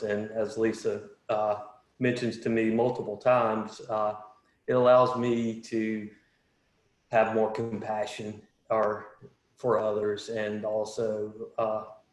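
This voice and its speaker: Amid audible room echo, a man speaks at a medium pitch in a monotone, flat intonation. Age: 40s. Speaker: panelist sharing recovery story. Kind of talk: testimony. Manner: halting.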